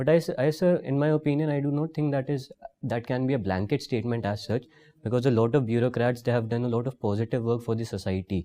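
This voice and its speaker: Talking at a very fast pace, a man uses a medium pitch and a dark, mellow tone with ordinary pitch variation. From India, Rajasthan (Jaipur). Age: 20s. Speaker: civil service job candidate. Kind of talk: job interview. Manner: formal; halting.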